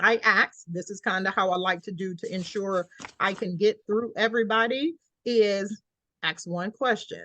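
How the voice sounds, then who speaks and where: A woman with an American accent, medium pitch, ordinary pitch variation and a bright, sharp tone, in a dry, close sound with no echo. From Georgia, US South. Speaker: scholarship program director. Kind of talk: online Q&A session. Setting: video call. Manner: fast.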